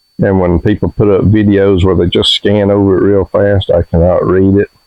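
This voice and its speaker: In an Alabama accent, a man speaks at a moderate pace. His fairly low voice is monotone and flat. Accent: Southern US (Alabama). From US South (Alabama). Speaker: homestead vlogger. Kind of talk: casual vlog narration.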